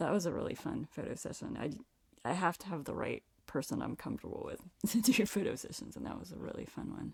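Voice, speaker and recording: A woman talks very fast with an American accent. Her loudness swings widely. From Virginia (Reston). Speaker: singer-songwriter. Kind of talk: casual interview chat. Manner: soft-spoken.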